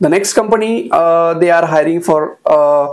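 The background is quiet. A man talks with an Indian accent. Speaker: YouTuber sharing job openings. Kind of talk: tutorial-style informational video. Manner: frequent hesitations with uh. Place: home room. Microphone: lapel.

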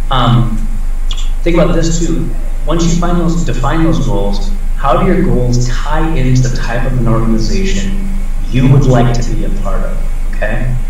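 With an American accent, a man speaks in lively intonation through strong room echo and noticeable background noise. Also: moderate pace. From Iowa. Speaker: tech recruiter. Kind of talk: lecture. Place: office. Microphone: webcam.

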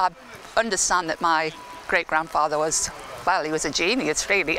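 The voice has a bright, sharp tone, with faint background noise behind it. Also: woman.

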